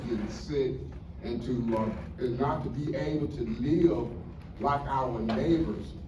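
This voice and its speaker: A man with a medium pitch speaks at a fairly slow pace, his intonation lively. Noticeable background noise and audible room echo are present. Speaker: community resident. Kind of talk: testimony.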